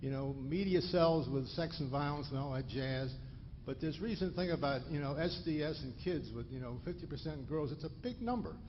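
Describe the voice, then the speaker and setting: A somewhat breathy voice at a moderate pace, ordinary pitch variation, and audible room echo. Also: man, fairly high pitch for a man. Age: 60s. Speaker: retired physician, audience member asking a question. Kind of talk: audience question at a lecture. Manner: halting, many restarts.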